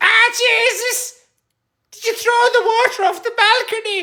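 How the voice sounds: This is a put-on character voice with an Irish accent, pitched extremely high. The pace is moderate.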